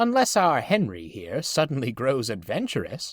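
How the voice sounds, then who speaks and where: A man's put-on character voice at a fairly high pitch and moderate pace, in a very clean recording with a silent background. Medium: read story. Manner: calm, smiling.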